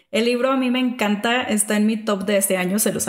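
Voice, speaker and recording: A woman speaks at a fairly high pitch against noticeable background noise. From Mexico, small town. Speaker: podcast host. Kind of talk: casual chat.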